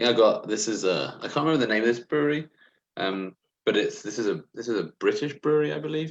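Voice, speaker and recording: Speaking very fast, a man with an English accent keeps to a medium pitch. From England. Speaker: homebrewer, beer enthusiast. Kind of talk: casual livestream beer tasting chat. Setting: live video stream.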